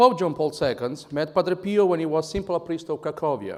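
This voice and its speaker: With an Italian accent, a man talks at a moderate pace with ordinary pitch variation on a very clean recording over a silent background. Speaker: conference speaker. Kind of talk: speech.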